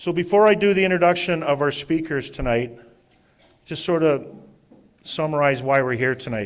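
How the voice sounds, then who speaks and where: The speaker, in a Canadian accent, goes at a moderate pace with long, frequent pauses. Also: man, fairly high pitch for a man, lively intonation. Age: 60s. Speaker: event moderator, city staff member. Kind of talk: public meeting moderation. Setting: live public open house with audience. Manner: informal, conversational.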